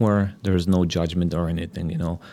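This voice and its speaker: A man speaks with a Polish accent. His pitch is very deep and low. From Poland. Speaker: divorce coach. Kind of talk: interview. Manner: hesitant, filler-heavy.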